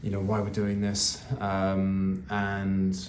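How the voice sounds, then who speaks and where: A man's fairly low voice with a British accent, fairly even intonation and a fairly slow pace, with audible room echo and noticeable background noise. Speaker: vlogger sharing family cancer updates. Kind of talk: personal video update. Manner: earnest, passionate; halting, checking notes.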